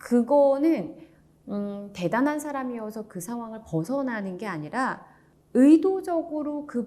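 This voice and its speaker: Her tone dark and mellow, a woman speaks at a high pitch and a fairly slow pace. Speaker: announcer; audiobook narrator. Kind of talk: book review talk. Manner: calm, soothing.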